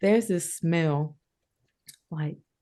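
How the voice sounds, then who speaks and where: With a Southern US accent, a woman speaks in a very deep, low pitch against a quiet background. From rural Georgia, US. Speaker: collage artist and writer. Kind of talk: interview answer. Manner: casual, conversational.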